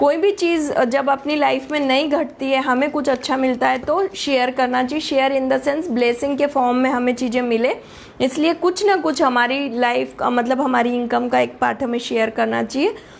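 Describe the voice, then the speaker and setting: The speech moves at a moderate pace with very even loudness and hardly any pauses. Pitch varies in an ordinary way, and background noise is noticeable. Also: woman, high pitch for a woman. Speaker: astrologer and tarot reader. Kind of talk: live stream talk. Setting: live stream. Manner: halting.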